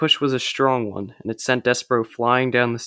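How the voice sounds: Reading in a natural voice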